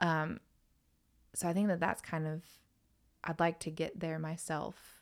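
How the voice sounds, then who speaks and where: In a Southern US accent, a woman speaks at a fairly slow pace with long, frequent pauses. Her fairly low voice stays monotone and flat. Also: very clean recording, silent background. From North Carolina. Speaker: country music singer. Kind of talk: casual chat.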